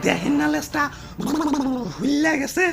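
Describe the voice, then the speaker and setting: A cartoonish character voice comes through over clear background noise. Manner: excitable.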